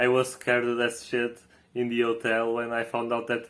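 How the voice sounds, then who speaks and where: A man talks at medium pitch with a Portuguese accent. His pace is moderate. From Portugal. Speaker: vlogger. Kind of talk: casual vlog recap. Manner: halting, many fillers and repetitions.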